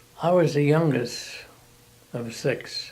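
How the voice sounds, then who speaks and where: A man with an American accent and fairly even intonation, against noticeable background noise. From San Francisco, California, US. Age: 90s. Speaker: retired bank employee. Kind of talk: oral history interview.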